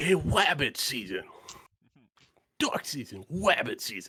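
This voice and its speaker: A man uses a put-on character voice, fairly high in pitch and delivered at a fairly slow pace. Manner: comic, playful.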